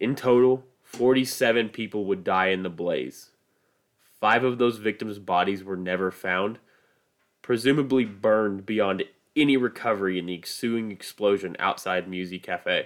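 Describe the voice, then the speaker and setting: The speaker has a Midwestern American accent and a fairly slow pace. It is a very clean recording with a silent background. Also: man, fairly low pitch for a man, ordinary pitch variation. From US Midwest. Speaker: podcast host. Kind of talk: scripted narration.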